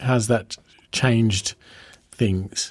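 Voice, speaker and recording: A man of medium pitch speaks with an Australian accent. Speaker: podcast host. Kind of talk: interview. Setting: recorded venue interview.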